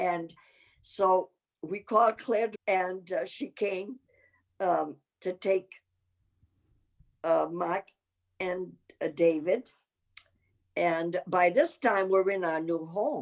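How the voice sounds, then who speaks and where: At a very slow pace with long, frequent pauses, a woman speaks at medium pitch with ordinary pitch variation. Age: 80s+. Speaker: grandmother telling life stories. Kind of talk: interview storytelling. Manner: animated; halting.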